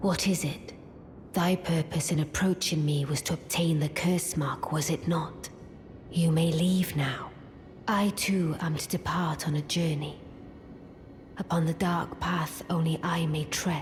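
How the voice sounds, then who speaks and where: In a put-on character voice at middle pitch, the speaker moves at a fairly slow pace over clear background noise. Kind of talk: archaic formal speech. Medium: video game. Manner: aloof, cool, regal.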